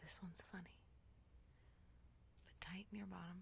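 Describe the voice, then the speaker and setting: Soft-spoken and at a moderate pace, the voice sounds dry with no echo over light background noise. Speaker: ASMR content creator. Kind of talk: guided progressive relaxation, ASMR. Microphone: studio mic.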